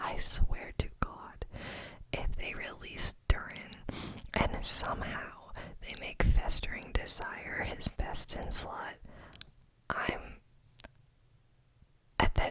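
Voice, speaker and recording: Whispering at a very slow pace, the speaker leaves long, frequent pauses against noticeable background noise. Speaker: ASMR creator and gamer. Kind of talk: ASMR gaming account review. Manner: soft-spoken, whispered.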